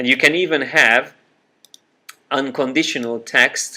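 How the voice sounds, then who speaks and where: This man has a Hungarian accent and a bright, sharp tone. He talks at a moderate pace with ordinary pitch variation. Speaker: software trainer. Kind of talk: tutorial. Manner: hesitant, with frequent fillers.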